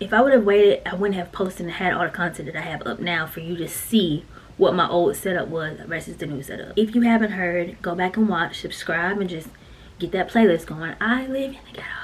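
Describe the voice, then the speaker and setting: A woman talks at a fairly quick pace in an animated tone, medium in pitch with ordinary pitch variation and big swings in loudness, over noticeable background noise. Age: 30s. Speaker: YouTuber. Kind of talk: casual vlog talk with tips. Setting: home content room.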